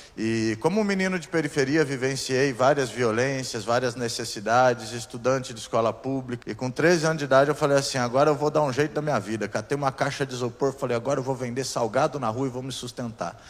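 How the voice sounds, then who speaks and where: With noticeable noise behind him, a man speaks very fast at a medium pitch, with ordinary pitch variation and hardly any pauses. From southern Brazil, Curitiba area, Paraná. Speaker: pastor. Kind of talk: sermon.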